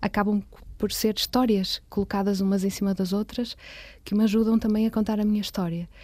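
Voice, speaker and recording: At a moderate pace, a woman speaks in a somewhat breathy, dark, mellow tone with monotone, flat intonation. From Porto, northern Portugal. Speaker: visual artist. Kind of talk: interview. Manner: halting, many repetitions.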